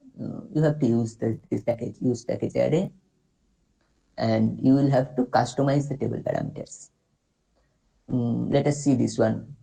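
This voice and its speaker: A man speaks at a moderate pace with an Indian accent. He takes long, frequent pauses. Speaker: workshop instructor. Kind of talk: tutorial. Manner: halting.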